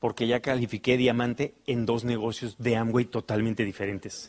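The pace of this man's speech is moderate. His tone is animated. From Mexico City. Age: 40s. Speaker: motivational speaker. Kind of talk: motivational talk.

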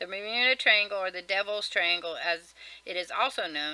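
A woman speaks at a fairly quick pace, her tone bright and sharp. The sound is dry, with no echo. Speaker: vlogger. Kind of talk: casual reading aloud of a list article with comments. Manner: fast. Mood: casual, mildly wry. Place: home room. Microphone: webcam.

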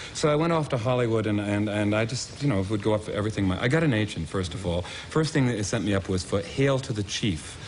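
A very fast, fairly low-pitched male voice with lively intonation, hardly any pauses, and light background noise. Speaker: talk show guest. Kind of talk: interview answer, anecdotal storytelling. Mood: wry, self-deprecating. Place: studio.

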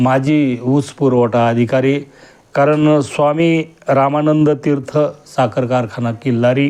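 A man speaks at a fairly high pitch in a plain, everyday voice, with fairly even intonation and very even loudness. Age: 50s. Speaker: retired government auditor giving a kirtan-style discourse. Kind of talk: religious discourse.

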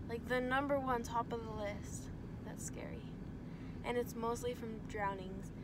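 A woman at a moderate pace with long, frequent pauses over loud background noise. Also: dry sound with no echo. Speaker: vlogger. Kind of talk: travel vlog. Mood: relaxed, slightly worried storytelling. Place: car. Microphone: phone near.

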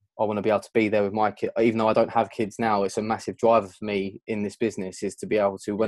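A fairly low-pitched man at a very fast pace, with monotone, flat intonation, a dry sound with no echo and a quiet background. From southern England, outside London. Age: 20s. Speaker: events sound and lighting technician. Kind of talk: interview. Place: home room. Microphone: video call.

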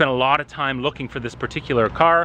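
Speaking at a fairly quick pace with ordinary pitch variation, a man sounds dry with no echo over light background noise. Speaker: car vlogger. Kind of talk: casual vlog chat. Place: street. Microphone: phone near.

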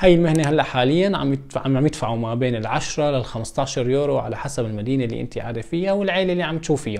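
Very fast delivery marks this male speaker. Lively intonation colors every line he says. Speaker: vlogger. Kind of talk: casual vlog chat. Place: home room.

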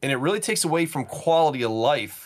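This man speaks in a fairly high voice with lively intonation. His pace is fairly quick. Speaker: podcast co-host. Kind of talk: casual chat. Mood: enthusiastic about games. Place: home room.

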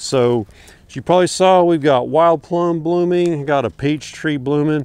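At a moderate pace, a man speaks in a dry recording with no echo. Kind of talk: casual vlog chat. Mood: relaxed, informative. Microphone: lapel.

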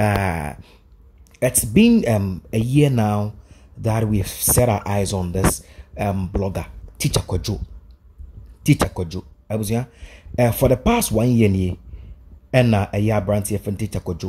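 Speaking with a Ghanaian accent, a man with a fairly low pitch and ordinary pitch variation talks at a fairly slow pace with long, frequent pauses over light background noise. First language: Twi. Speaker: YouTube vlogger. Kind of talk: vlog commentary. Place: studio. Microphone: studio mic.

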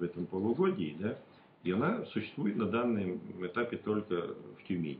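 With light background noise and audible room echo, a man speaks at a fairly low pitch with ordinary pitch variation. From rural Russia. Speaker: regional deputy. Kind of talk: interview answers; interview answer. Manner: halting, many fillers. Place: meeting room. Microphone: camera far.

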